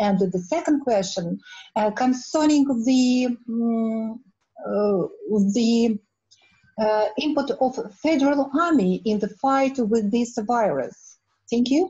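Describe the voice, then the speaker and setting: Against a quiet background, a woman speaks at a very slow pace in a high voice of very even loudness. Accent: Russian. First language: Russian. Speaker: researcher; audience member. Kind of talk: audience question. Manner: halting. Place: home room. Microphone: webcam.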